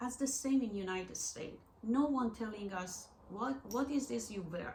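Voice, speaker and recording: Amid noticeable background noise and audible room echo, a woman with a Persian accent speaks at a moderate pace and a fairly high pitch, with ordinary pitch variation. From Iran. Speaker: artist and gallery owner. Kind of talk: interview. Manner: halting.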